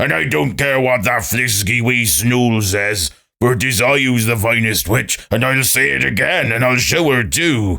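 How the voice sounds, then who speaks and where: Putting on a character voice, a man speaks at a moderate pace with medium pitch and hardly any pauses. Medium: read story.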